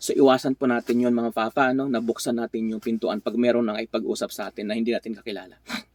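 Recorded dry and close with no echo, a man speaks at a very fast pace in a medium pitch. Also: fairly even intonation. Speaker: vlogger and truck driver. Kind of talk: casual vlog monologue.

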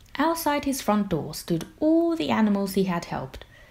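This is a natural reading voice.

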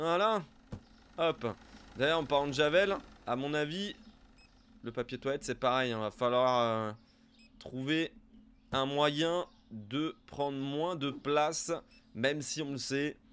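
A man talks at a very slow pace with ordinary pitch variation. Long, frequent pauses break up his speech. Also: fairly high pitch for a man. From southern France (Montpellier area); southern France. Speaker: gaming YouTuber; gaming youtuber. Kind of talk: let's play commentary; gameplay commentary. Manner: casual, hesitant with many fillers. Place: home room.

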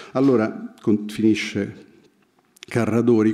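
A man speaks in a dark, mellow tone against a quiet background. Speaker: writer; reader at book presentation. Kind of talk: literary analysis talk. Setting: stage with audience. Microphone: podium.

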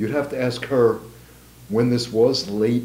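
A somewhat breathy male voice at a fairly slow pace, with audible room echo. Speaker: history professor. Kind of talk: interview. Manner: measured, conversational. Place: home room.

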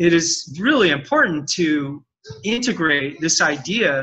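In a raised, projected voice, a man speaks with a bright, sharp tone and very wide pitch swings. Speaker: communication trainer, interview guest. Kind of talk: interview answer. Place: home room. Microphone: video call.

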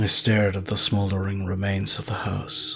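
Clear music plays in the background. A man with a fairly low pitch speaks at a fairly slow pace. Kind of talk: ASMR storytelling. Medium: read story. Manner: soft, somber, reflective.

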